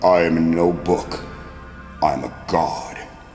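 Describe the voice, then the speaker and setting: Putting on a booming character voice, a man speaks at a fairly slow pace over clear background noise. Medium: read story. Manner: booming, imperious.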